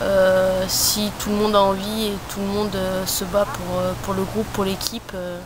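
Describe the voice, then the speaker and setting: Over noticeable background noise and audible room echo, a woman speaks fairly slowly with monotone, flat intonation. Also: medium pitch for a woman. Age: 20s. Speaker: professional footballer. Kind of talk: interview.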